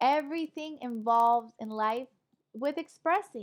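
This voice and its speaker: A woman with a Spanish accent speaks at a high pitch and a moderate pace. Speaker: online English teacher. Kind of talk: online lecture class. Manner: animated.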